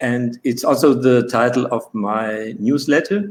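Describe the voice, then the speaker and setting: A man talks very slowly at a medium pitch, his pitch varying in an ordinary way. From Switzerland. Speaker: author and coach, guest speaker. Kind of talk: lecture read from script. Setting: online webinar. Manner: halting, many fillers.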